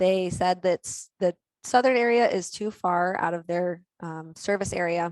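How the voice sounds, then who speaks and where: A woman with an American accent speaks at medium pitch with ordinary pitch variation. The sound is dry and close with no echo, over a quiet background. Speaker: county recycling coordinator. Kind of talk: presentation. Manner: fast.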